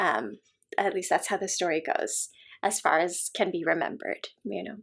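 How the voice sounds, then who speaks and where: Vocal fry runs through this American-accented voice, with ordinary pitch variation and a very clean recording over a silent background. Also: woman. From United States (Illinois, then Southern California). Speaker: podcast host and yoga teacher. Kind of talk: personal storytelling in conversation. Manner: hesitant, many fillers.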